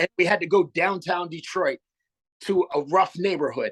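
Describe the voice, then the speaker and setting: A man's high-pitched voice comes through with a dry, close sound and no echo. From Canada (Sarnia, Ontario). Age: 40s. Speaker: hip-hop artist. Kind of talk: interview.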